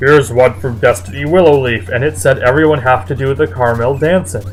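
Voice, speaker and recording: Over clear background music, a man does a put-on character voice at a medium pitch and a very fast pace. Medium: read story.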